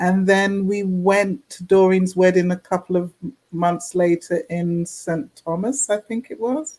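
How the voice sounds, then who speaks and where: A woman with a British accent speaks in a dark, mellow tone. She leaves hardly any pauses, and her loudness swings widely. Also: medium pitch for a woman, ordinary pitch variation, fairly slow pace. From London, England (Jamaican-born). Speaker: forensic document examiner and author. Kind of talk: casual interview chat.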